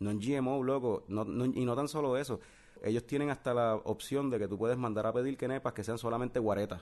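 Against a quiet background, a man talks at a fairly quick pace. He has a normal speaking voice at medium pitch. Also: fairly even intonation, very even loudness. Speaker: podcast host. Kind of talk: casual chat.

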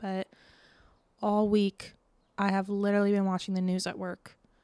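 A woman's dark, mellow tone with an American accent, dry and close with no echo, on a very clean recording with a silent background. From Florida, Tampa Bay area. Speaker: podcast host. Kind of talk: casual monologue. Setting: home, window open. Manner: casual, filler-heavy.

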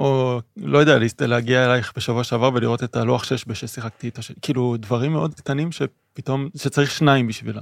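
In an unremarkable speaking voice, a man talks at a fairly quick pace with hardly any pauses, a medium pitch and ordinary pitch variation, on a very clean recording with a silent background and a dry, close sound with no echo. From Israel. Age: 30s. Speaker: podcast co-host, philosophy student. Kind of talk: casual chat.

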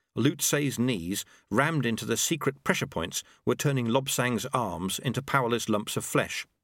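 Pitch varies in an ordinary way throughout this natural reading voice.

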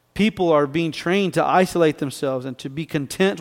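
A man with an ordinary speaking voice at a fairly quick pace, on a very clean recording with a silent background. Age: 40s. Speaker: pastor. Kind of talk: sermon.

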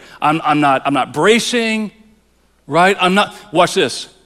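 Here a man speaks in a high, bright, sharp tone. He goes at a fairly slow pace with ordinary pitch variation. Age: 40s. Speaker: pastor. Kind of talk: sermon. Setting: church. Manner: repetitive, halting restarts.

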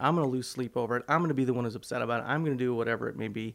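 Medium in pitch, a man speaks with an American accent. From US Midwest, south Chicago suburbs. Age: 40s. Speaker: pastor. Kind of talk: casual interview chat. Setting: studio.

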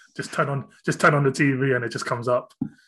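In a British accent, a man speaks at a fairly quick pace with a bright, sharp tone over a quiet background. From UK. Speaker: podcast host. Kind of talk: casual chat.

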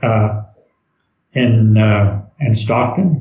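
A somewhat breathy man with a Southern US accent and ordinary pitch variation. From Arkansas. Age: 90s. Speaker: war veteran. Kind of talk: interview. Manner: halting.

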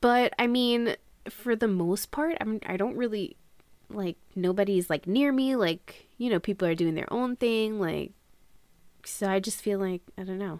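A woman with a normal speaking voice and an American accent talks fairly slowly at a medium pitch, with ordinary pitch variation. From Long Island, New York. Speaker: podcast co-host. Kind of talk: casual chat.

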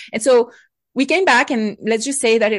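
A woman with a French accent speaks at a fairly high pitch. Her pitch variation is ordinary, and the background is quiet. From France, Bordeaux region. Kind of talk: interview.

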